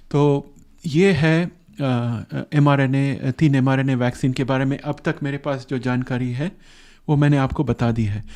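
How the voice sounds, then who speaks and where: Against a quiet background, a man with a non-native accent speaks at a moderate pace in a fairly high pitch with fairly even intonation. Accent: non-fluent Hindi, self-described. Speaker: science explainer youtuber. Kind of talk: explainer monologue. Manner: halting, many fillers.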